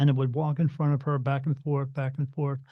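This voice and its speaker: A man with an American accent talks at a very fast pace in a flat monotone. His voice is somewhat breathy. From New Jersey. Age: 50s. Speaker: spirit medium. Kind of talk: podcast interview.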